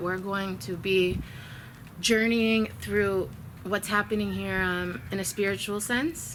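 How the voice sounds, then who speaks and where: In a Chicago accent, a woman speaks at a medium pitch with a bright, sharp tone. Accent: American, Chicago. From US Midwest, Chicago. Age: 30s. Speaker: vlogger. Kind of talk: spiritual video update. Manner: earnest, with hesitations.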